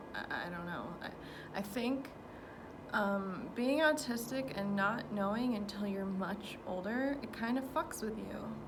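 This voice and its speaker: Noticeable background noise sits behind a woman's voice. She speaks at a very slow pace with a fairly high pitch. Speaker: gardener. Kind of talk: casual talk to camera. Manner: hesitant, rambling.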